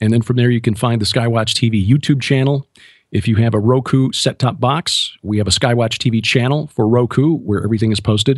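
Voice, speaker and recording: A man with an American accent uses a normal speaking voice at a medium pitch. He talks at a fairly quick pace with fairly even intonation over a quiet background. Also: very even loudness. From US Midwest, Chicago. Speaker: author and TV host, former radio broadcaster. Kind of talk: radio interview.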